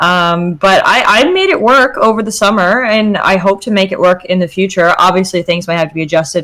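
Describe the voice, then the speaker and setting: Amid noticeable background noise, a woman talks at a fairly quick pace in a medium pitch. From Canada, Newfoundland. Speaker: law student and streamer. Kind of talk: casual chat.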